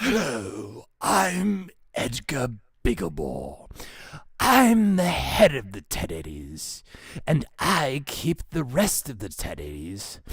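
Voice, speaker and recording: A man at medium pitch puts on a character voice, sounding strained and speaking very slowly. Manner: self-important.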